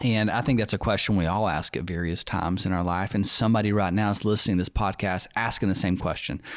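A Southern US accent at a moderate pace. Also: man. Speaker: podcast host and church staff member. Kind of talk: casual chat. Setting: studio.

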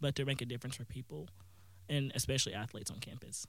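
A man talks with a Southern US accent. His intonation stays fairly even. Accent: Southern American. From US South, northeast Mississippi. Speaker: college student. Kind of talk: radio interview. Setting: studio.

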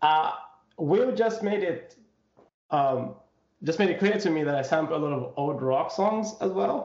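A man with a high voice talks at a fairly slow pace, his lively intonation broken by long, frequent pauses. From Zambia. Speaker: hip hop artist. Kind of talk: interview. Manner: soft-spoken; halting, many fillers.

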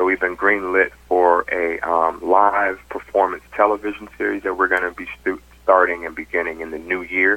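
A man with an American accent talks at a moderate pace in a very deep, low voice. His delivery is monotone and flat, with hardly any pauses. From US South, Atlanta, Georgia; teen years in Connecticut. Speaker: gospel artist and film director. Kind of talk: interview.

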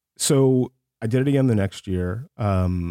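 Recorded very cleanly with a silent background and a dry, close sound with no echo, this voice has a dark, mellow tone, an American accent and ordinary pitch variation. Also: man. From US South, Columbus, Georgia. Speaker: entertainment industry executive. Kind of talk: interview.

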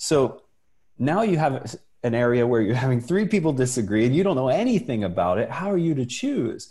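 A man with a medium-pitched, dark, mellow, somewhat breathy voice talks at a fairly quick pace, his pitch swinging very widely while his loudness stays very even. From US, Italian immigrant family. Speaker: entrepreneur. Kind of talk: casual chat.

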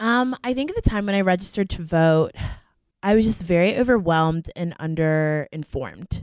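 In a dry, close sound with no echo, a woman with a normal speaking voice talks at a moderate pace with lively intonation. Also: medium pitch for a woman. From Florida (Fort Myers). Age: 20s. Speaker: college student. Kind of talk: casual chat.

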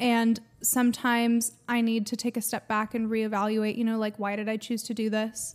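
Fairly high female pitch in monotone, flat intonation, with an American accent and hardly any pauses, on a very clean recording with a silent background. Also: moderate pace. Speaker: singer in a metal band. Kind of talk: casual podcast interview. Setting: video recording with camera. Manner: chatty, laughing, uses many fillers.

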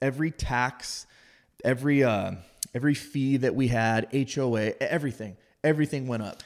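In a very clean recording with a silent background, a man with a Californian accent speaks at a moderate pace. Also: medium pitch for a man, fairly even intonation. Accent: Californian American. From Southern California, San Diego. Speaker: heavy equipment operator and fitness coach. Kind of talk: casual chat.

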